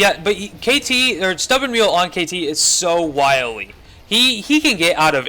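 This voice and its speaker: With an American accent, a man speaks with very wide pitch swings over noticeable background noise. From northern Indiana. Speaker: esports caster. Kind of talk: live commentary. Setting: livestream with chat.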